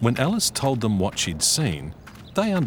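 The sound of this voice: Unforced voice for reading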